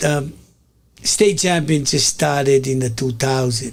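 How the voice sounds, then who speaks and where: A fairly high male voice with a Tongan accent and ordinary pitch variation. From Hawaii (Oahu North Shore), after early childhood in Tonga. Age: 60s. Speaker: community media host. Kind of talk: casual monologue to an online audience. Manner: halting, with many fillers and repetitions.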